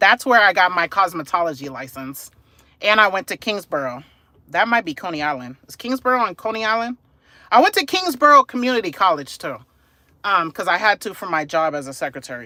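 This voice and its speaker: A man with a New York accent speaks in a raised, projected voice, high in pitch, with very wide pitch swings and big swings in loudness. His tone is bright and sharp, and his pace is very fast. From New York City. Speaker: live streamer. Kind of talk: live stream chat. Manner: casual.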